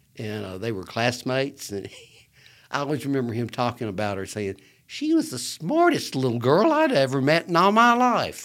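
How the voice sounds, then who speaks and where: A man with an Alabama accent talks with big swings in loudness in a very clean recording with a silent background. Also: moderate pace. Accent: US Southern (Alabama). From Birmingham, Alabama. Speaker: lawyer and political figure. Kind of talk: casual interview chat.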